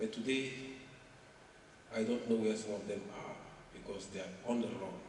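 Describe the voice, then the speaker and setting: With a northern Nigerian accent, a man speaks at a moderate pace amid audible room echo and noticeable background noise. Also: medium pitch for a man, fairly even intonation. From northern Nigeria, Maiduguri. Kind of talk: interview.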